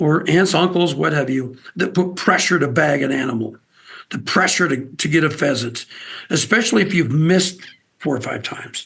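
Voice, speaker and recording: A man with an American accent and a plain, everyday voice, fairly high in pitch, at a moderate pace with ordinary pitch variation. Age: 60s. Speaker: outdoors TV host and wildlife agency spokesman. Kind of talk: casual interview.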